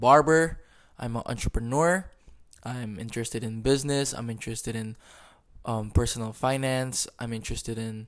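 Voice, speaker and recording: Medium-pitched male voice at a moderate pace, with fairly even intonation, on a very clean recording over a silent background. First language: not English. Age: 20s. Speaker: podcast host and barber. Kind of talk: casual monologue. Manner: halting.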